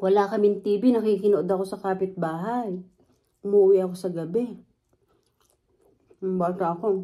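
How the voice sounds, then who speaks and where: At a moderate pace with long, frequent pauses, a woman speaks in a dark, mellow tone at medium pitch, her intonation monotone and flat. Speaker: food vlogger. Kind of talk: mukbang vlog chat. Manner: loud; talkative.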